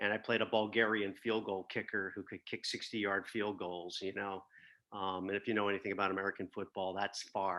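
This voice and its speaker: A man's fairly low voice at a fairly quick pace, in a monotone, flat intonation. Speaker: voice actor. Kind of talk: interview answer.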